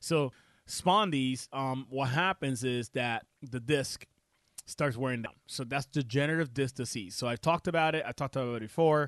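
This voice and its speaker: A man with a Puerto Rican accent speaks at a moderate pace and medium pitch with ordinary pitch variation, recorded dry and close with no echo against a quiet background. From Puerto Rico. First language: Spanish. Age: 30s. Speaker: chiropractor and radio host. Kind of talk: health talk radio show. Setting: radio studio. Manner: casual, filler-heavy.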